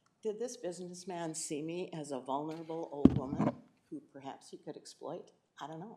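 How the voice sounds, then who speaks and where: A woman with a fairly low voice and an American accent, her loudness swinging widely, over noticeable background noise. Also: ordinary pitch variation, fairly quick pace. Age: 70s. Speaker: citizen giving public comment. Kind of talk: public comment at county board meeting. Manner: halting, with frequent fillers and restarts.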